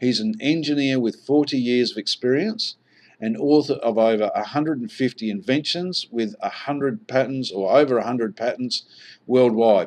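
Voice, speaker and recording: The speaker is a man with a medium pitch. He talks with an Australian accent. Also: ordinary pitch variation, moderate pace. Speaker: online marketer, investment presenter. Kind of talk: sales presentation.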